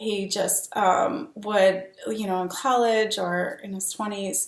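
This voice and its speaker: Very slow speech with fairly even intonation, over noticeable background noise. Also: woman, medium pitch for a woman. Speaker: dating coach. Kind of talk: casual vlog talk to camera. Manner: hesitant, many fillers.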